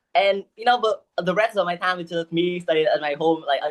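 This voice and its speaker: A woman speaks with a Vietnamese accent at a fairly low pitch. Her pace is fairly quick. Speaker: English learner, university student. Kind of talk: one-to-one English lesson conversation. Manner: halting, with many fillers.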